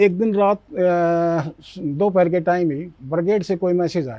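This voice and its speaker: This man's voice sits at a high pitch. Its tone is dark and mellow. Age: 70s. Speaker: war veteran. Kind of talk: interview storytelling.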